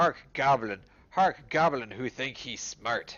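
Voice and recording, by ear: A man puts on a character voice. He speaks at a fairly slow pace in a medium pitch.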